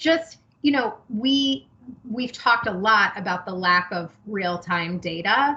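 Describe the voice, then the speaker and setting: Over noticeable background noise, a woman speaks at a very slow pace. Her fairly high pitch carries lively intonation. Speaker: task force member. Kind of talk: meeting discussion.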